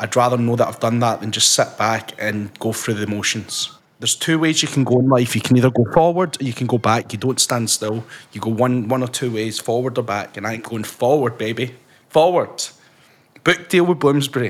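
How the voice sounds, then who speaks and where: The speaker has a Scottish accent. Delivery comes at a fairly quick pace. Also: man, medium pitch for a man, ordinary pitch variation. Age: 20s. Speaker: podcast host and author. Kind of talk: casual chat. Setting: video call.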